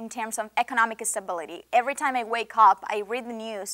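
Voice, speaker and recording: A fairly quick pace and fairly even intonation in a Venezuelan accent, on a very clean recording with a silent background. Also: woman. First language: Spanish. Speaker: international student. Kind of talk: interview. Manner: impassioned.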